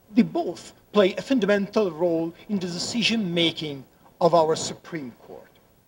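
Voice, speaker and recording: A man speaks at a high pitch and moderate pace, with ordinary pitch variation and big swings in loudness. Noticeable background noise sits behind him. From Italy. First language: Italian. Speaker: law professor. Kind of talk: conference talk. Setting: conference room with audience. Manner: halting, frequent repetitions.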